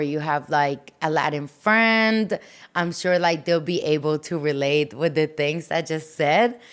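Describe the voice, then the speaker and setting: A woman talks at a very slow pace in a fairly low pitch. The recording is very clean, with a silent background. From Colombia and Miami. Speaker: singer-songwriter and podcast host. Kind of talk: casual podcast monologue. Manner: animated, frequent filler words.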